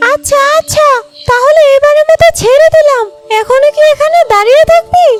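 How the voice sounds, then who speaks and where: Cartoonish character voice, extremely high in pitch, moving at a fairly slow pace. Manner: firm, protective.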